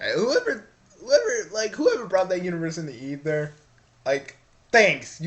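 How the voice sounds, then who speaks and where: Putting on a character voice, a man speaks at a high pitch and a moderate pace, leaving long, frequent pauses. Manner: brutal.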